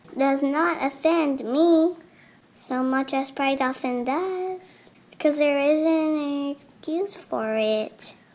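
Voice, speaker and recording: A woman speaks in a high, put-on character voice. Her pace is very slow. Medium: read story. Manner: calm, matter-of-fact.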